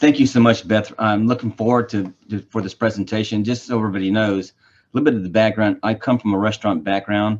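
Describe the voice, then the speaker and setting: With an American accent, a man speaks at a fairly low pitch with fairly even intonation. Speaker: government official. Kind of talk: presentation. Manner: fast.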